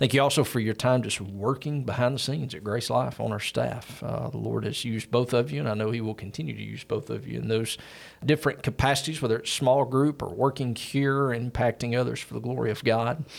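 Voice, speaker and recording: At a fairly quick pace with hardly any pauses, a man speaks at medium pitch with ordinary pitch variation and vocal fry. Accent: Southern US. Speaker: church podcast host. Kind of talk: casual interview. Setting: studio.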